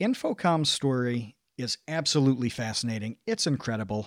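This is an ordinary speaking voice: a man with an American accent at medium pitch and ordinary pitch variation. The recording is very clean with a silent background, and the sound is dry and close with no echo. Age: 30s. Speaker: online video creator. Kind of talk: casual chat.

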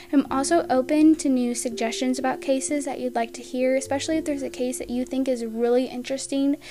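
Through noticeable background noise, a woman with an American accent speaks fairly quickly in a high pitch with fairly even intonation. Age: 20s. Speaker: podcast host. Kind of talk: scripted introduction monologue.

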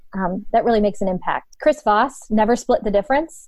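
A normal speaking voice from a woman in an American accent, fairly high in pitch with lively intonation. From Ohio, northeastern US. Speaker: leadership coach and former runner. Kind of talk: casual interview.

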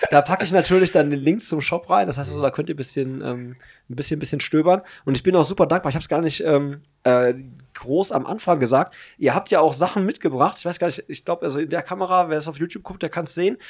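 On a very clean recording with a silent background, a man talks very fast at a fairly high pitch with ordinary pitch variation. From Hagen, Germany. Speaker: podcast host. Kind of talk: casual chat.

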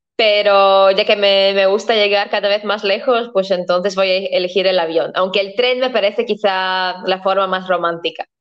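A woman's medium-pitched voice in a Latvian accent. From Latvia, Riga. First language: Latvian (speaking Spanish). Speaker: historian and tour agency owner. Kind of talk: interview.

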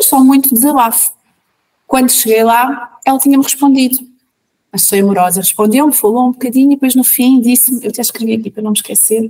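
A woman speaks at a very fast pace in a high pitch, with a dark, mellow tone and fairly even intonation. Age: 30s. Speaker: mother sharing birth stories. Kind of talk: personal testimony.

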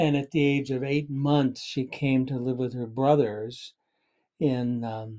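At a very slow pace, a man with an American accent speaks at a medium pitch with a dark, mellow tone and fairly even intonation. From Southern California, Los Angeles area. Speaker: podcast guest, host's father. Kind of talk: casual interview.

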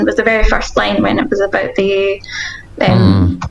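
Noticeable background noise runs under this recording. A woman speaks over it at a moderate pace. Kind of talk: casual chat.

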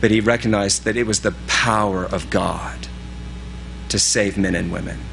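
A fairly low male voice at a fairly slow pace, with very wide pitch swings, audible room echo and noticeable background noise. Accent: American. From US East Coast big city. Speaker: pastor. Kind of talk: sermon.

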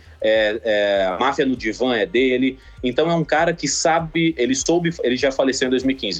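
A man talks at a moderate pace in a medium pitch, with ordinary pitch variation and very even loudness. It is a plain, everyday voice. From Mato Grosso, Brazil (Sinop). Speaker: comedian and video editor. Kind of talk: casual phone interview. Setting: phone call.

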